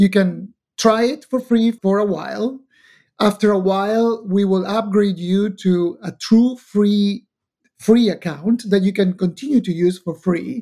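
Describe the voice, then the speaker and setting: The pace stays fairly slow. A non-native accent comes through. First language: not English. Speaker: tech company founder and executive. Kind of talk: interview. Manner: halting.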